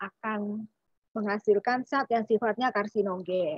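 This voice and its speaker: The background is quiet as a woman speaks at a fairly high pitch. Her pitch varies in an ordinary way, and the sound is dry with no echo. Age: 40s. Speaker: doctor. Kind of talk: health talk. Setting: video call. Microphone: video call.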